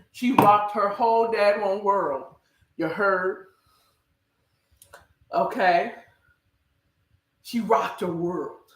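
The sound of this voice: A woman speaks at a medium pitch and a very slow pace, with ordinary pitch variation and long, frequent pauses. Audible room echo surrounds her voice.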